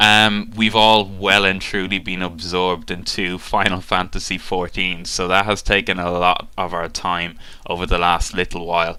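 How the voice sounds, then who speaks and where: The voice runs on with hardly any pauses, flat and monotone, its tone bright and sharp. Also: man, very deep, low pitch for a man, moderate pace. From Ireland, south of Dublin. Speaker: gaming YouTuber. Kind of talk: casual talk to webcam, Q&A. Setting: webcam. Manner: hesitant, many fillers.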